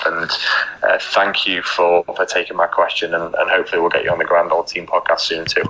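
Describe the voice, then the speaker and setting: Over noticeable background noise, the speech races along at a very fast pace. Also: man. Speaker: podcast listener sending a recorded question. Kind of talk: recorded voice message question. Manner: quiet.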